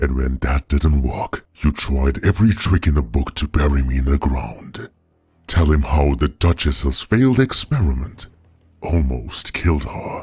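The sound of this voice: A man's put-on character voice at an extremely low pitch, with a husky, rough edge, a slightly mellow tone and lively intonation. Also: fairly slow pace.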